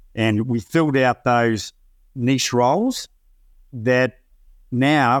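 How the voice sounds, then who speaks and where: Speaking in an Australian accent, a man keeps a medium pitch with ordinary variation. The recording is very clean, the background silent. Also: dry, close sound with no echo. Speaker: company founder and CEO. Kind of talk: business interview.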